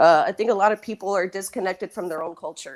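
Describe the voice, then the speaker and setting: A woman with an American accent. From South Texas, Laredo. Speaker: panel guest. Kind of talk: panel discussion. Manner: halting with repeated words.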